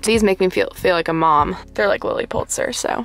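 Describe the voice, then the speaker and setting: A woman's voice sounds dry with no echo as clear music plays in the background. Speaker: vlogger. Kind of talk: casual vlog chat. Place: car.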